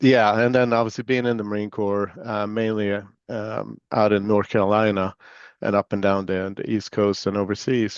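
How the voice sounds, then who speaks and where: Against a quiet background, a man with a fairly low pitch talks at a moderate pace in a monotone, flat intonation, with a dry, close sound and no echo. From Sweden. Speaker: chief information security officer, former Marine. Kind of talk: interview. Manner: casual with many fillers.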